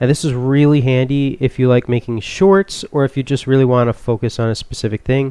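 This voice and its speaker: With a dark, mellow tone and medium pitch, a man speaks at a fairly quick pace with ordinary pitch variation. His loudness stays very even, and the sound is dry and close with no echo. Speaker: youtuber. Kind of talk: tutorial. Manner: soft-spoken; casual, halting.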